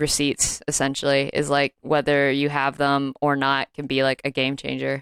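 A woman with an American accent speaks at a moderate pace in a very deep, low pitch. The sound is dry and close, with no echo. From US Deep South. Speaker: comedian and podcast co-host. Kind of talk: casual chat.

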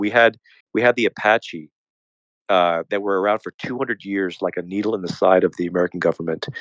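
Against a quiet background, a man with an ordinary speaking voice talks at a fairly quick pace in a fairly low pitch with ordinary pitch variation, and the sound is dry and close with no echo. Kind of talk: casual group discussion. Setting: online audio room.

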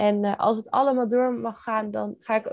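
A woman speaks fairly slowly in an unremarkable speaking voice, fairly high in pitch with ordinary pitch variation, in a dry, close sound with no echo. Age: 20s. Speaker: NLP coach. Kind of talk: casual interview chat.

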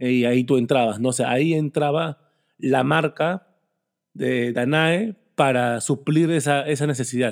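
Recorded very cleanly against a silent background, a man speaks in an ordinary speaking voice at a fairly slow pace. His medium pitch has ordinary pitch variation and very even loudness. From Peru. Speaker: podcast host. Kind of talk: casual interview.

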